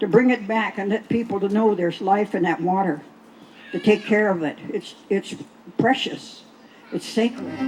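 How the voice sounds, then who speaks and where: Music plays in the background as a woman speaks at a moderate pace. She leaves long, frequent pauses. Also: medium pitch for a woman, ordinary pitch variation. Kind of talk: speech to festival audience about water.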